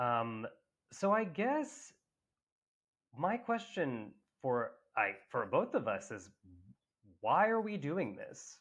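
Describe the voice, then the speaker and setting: A man talks at a very slow pace with long, frequent pauses. The background is quiet. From US South, Tennessee. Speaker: actor and podcast co-host. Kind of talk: casual chat. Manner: animated.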